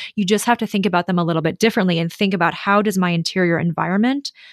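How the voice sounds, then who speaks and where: Against a quiet background, a woman with an unremarkable speaking voice talks in an American accent at a medium pitch with ordinary pitch variation. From US Midwest, Minnesota. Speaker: interior designer. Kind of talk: casual interview chat.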